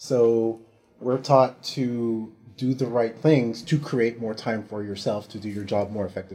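A man with a Californian accent speaks at a medium pitch in a dark, mellow tone. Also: fairly even intonation, fairly slow pace. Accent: general American, Californian. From US West Coast, San Francisco Bay Area. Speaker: military recruiter. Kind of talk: interview.

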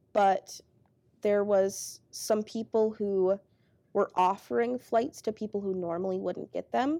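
A woman with an American accent speaks in a plain, everyday voice at a medium pitch and a fairly slow pace. Her pitch varies in an ordinary way, and the sound is dry and close with no echo. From rural Minnesota. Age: 20s. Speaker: air national guard airman. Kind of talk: interview.

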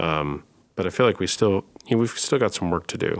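Ordinary pitch variation in a male voice of very deep, low pitch. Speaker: podcast host. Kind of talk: interview host.

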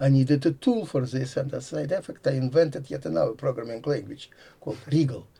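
A man talks at a fairly quick pace with a medium pitch. His voice is somewhat breathy, with a dark, mellow tone. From Latvia (Riga). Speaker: computer science professor. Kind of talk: interview. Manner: halting.

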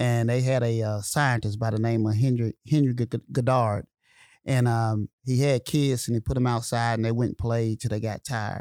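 A man with a Southern US accent talks at a moderate pace in a monotone, flat voice, recorded very cleanly with a silent background and a dry, close sound with no echo. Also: medium pitch for a man. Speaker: military senior enlisted leader, podcast host. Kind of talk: interview conversation. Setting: studio.

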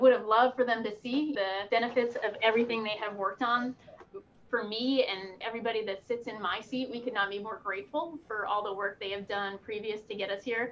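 A woman with an American accent talks at a fairly quick pace in an unremarkable speaking voice. Her pitch is fairly high and her intonation fairly even. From Pennsylvania, Poconos. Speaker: military officer and pilot. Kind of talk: interview.

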